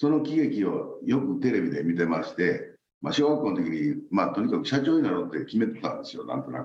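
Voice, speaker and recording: A man with a Kansai accent at a fairly quick pace, hardly any pauses, and audible room echo. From Osaka, Japan. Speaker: company president. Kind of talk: interview.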